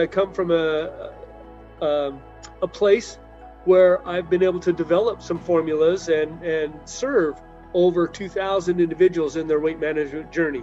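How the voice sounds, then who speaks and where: With faint music playing in the background, a man speaks at a high pitch and a moderate pace. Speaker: chiropractor guest. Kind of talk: interview answer. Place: home room. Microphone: video call.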